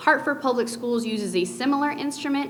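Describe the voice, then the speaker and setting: Over noticeable background noise and audible room echo, a woman speaks at a fairly quick pace with ordinary pitch variation. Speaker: youth prevention program presenter. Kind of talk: presentation at public board meeting. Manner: fast.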